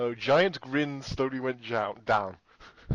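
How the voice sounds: Fairly even intonation in a natural reading voice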